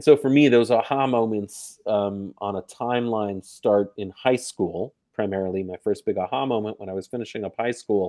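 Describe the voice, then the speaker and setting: This man has a fairly low pitch, ordinary pitch variation, big swings in loudness and hardly any pauses. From New York. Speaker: gender violence prevention activist. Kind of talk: interview. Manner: fast.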